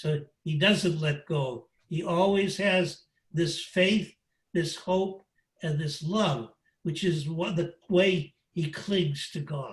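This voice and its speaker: A man's high-pitched voice, ordinary in its pitch variation, unfolds at a very slow pace. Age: 80s+. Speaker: priest and spiritual teacher. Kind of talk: lecture. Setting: video call. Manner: halting.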